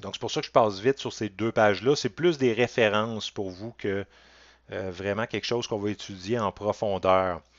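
Using a Quebec accent, a man speaks at a moderate pace with a fairly low pitch and ordinary pitch variation. The sound is dry with no echo, over a quiet background. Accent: Québécois French. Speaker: college math teacher. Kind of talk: lecture. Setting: recorded online class from home with webcam. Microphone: headset.

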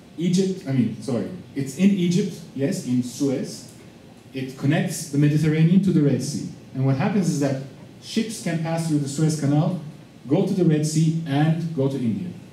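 A fairly high-pitched male voice with light background noise and audible room echo. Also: ordinary pitch variation, moderate pace. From Turkey. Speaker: visiting professor. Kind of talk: lecture. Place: classroom.

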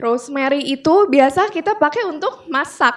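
Someone speaks at a fairly slow pace with ordinary pitch variation over a quiet background. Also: woman. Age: 20s. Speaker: product presenter; presenter. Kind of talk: product presentation to audience. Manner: casual, hesitant with fillers. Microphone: handheld.

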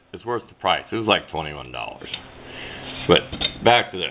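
Light background noise can be heard. The speaker keeps a moderate pace. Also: man. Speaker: hobbyist radio antenna builder. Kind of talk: tutorial. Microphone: phone near.

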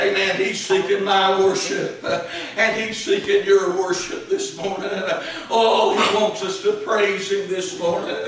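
Fairly slow speech rings with strong room echo over light background noise. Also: man. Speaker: Baptist preacher. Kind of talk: church sermon. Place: church. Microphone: camera far.

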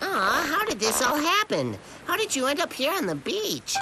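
A cartoonish character voice pitched high comes through over clear background noise. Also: moderate pace. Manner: eager, caring.

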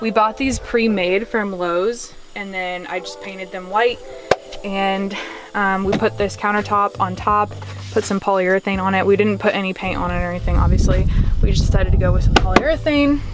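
A woman talks at a fairly quick pace, the sound dry with no echo and clear music in the background. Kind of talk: casual vlog chat. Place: car. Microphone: phone near.

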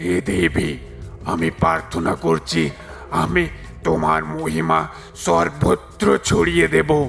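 Clear music plays behind a raspy, cartoonish character voice. The man speaks at a very slow pace and a very deep, low pitch.

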